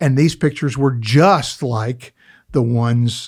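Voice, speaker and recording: Somewhat breathy and showing ordinary pitch variation, the voice sits on a very clean recording with a silent background. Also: man. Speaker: auctioneer, antiques appraiser and television personality. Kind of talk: interview answer, telling an anecdote on a podcast. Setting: podcast booth in a studio. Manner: conversational, storytelling.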